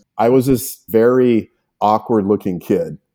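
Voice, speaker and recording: A man's dark, mellow tone with fairly even intonation, on a very clean recording with a silent background. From New Mexico, Albuquerque. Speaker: veterinarian. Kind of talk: interview.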